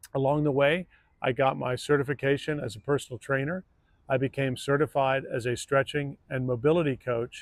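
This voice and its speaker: Here a man talks at a fairly quick pace with a fairly high pitch. It is an unremarkable speaking voice. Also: dry, close sound with no echo. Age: 60s. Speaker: fitness coach. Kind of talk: channel introduction. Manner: conversational.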